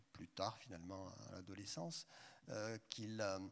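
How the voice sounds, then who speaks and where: A man speaks with fairly even intonation. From southern France, Haute-Provence. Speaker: translator. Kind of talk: panel discussion. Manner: halting.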